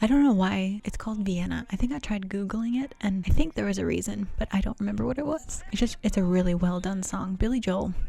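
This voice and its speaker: Against noticeable background noise, a woman whispers at a fairly quick pace. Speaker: vlogger. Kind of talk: casual chat. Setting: home piano room. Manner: whispering.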